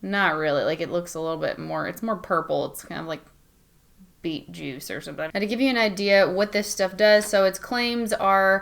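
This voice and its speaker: A woman with an American accent talks at a fairly quick pace and medium pitch, in an ordinary speaking voice. The recording is very clean, with a silent background. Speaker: beauty vlogger. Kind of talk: tutorial. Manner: casual, chatty.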